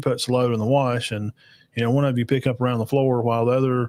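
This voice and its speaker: A man speaks at a medium pitch with an Alabama accent. The recording is very clean, with a silent background. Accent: Southern US (Alabama). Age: 40s. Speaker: podcast host reacting to videos. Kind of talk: live reaction show, casual chat with chat comments. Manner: casual, halting with many fillers.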